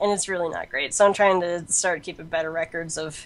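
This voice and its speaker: With an ordinary speaking voice, a woman talks at a fairly quick pace, her fairly low pitch following a fairly even intonation. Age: 20s. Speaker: freelance games and comics journalist. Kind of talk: casual interview.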